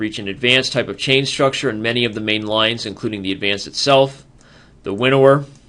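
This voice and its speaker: A man's bright, sharp tone carries fairly even intonation. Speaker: chess teacher, international master. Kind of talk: tutorial. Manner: fast.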